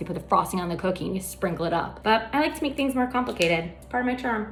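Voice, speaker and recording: A woman talking very fast, with audible room echo and noticeable background noise. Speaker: baking show host. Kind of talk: casual tutorial. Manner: animated.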